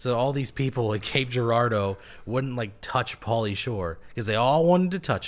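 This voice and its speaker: A plain, everyday voice with lively intonation, spoken at a moderate pace. The recording is very clean, with a silent background. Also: man, medium pitch for a man. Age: 30s. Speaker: stand-up comedian. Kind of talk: casual chat.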